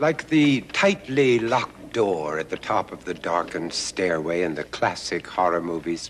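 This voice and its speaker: Noticeable background noise sits under a fairly slow delivery marked by very wide pitch swings. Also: man. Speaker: documentary narrator and host. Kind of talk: theatrical documentary narration as a spooky host. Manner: dramatic, ominous.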